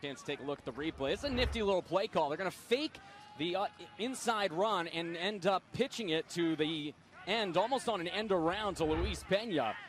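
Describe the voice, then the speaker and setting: With noticeable background noise behind him, a man speaks at a fairly quick pace. His pitch is high and his intonation lively. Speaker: football color commentator. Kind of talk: live sports color commentary, TV broadcast.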